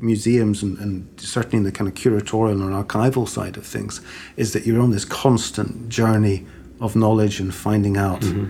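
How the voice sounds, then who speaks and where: A man talks at a moderate pace with a dark, mellow tone, somewhat breathy, at a fairly low pitch. His intonation is monotone and flat. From born in Sweden, raised in Britain. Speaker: museum curatorial assistant. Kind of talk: casual interview.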